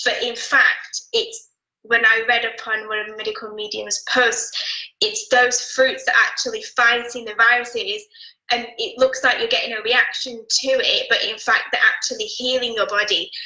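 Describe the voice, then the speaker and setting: A woman talks at a moderate pace. She has a British accent. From United Kingdom. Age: 20s. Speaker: interview guest sharing a healing story. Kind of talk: testimony.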